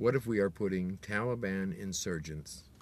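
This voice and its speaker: Dry with no echo, a man's very deep, low voice moves at a fairly slow pace with ordinary pitch variation. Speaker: video blogger. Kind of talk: angry political rant, direct-to-camera monologue. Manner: indignant, sarcastic, pointed; emphatic, accusatory, rhetorical questions. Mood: indignant, opinionated. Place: car. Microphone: phone near.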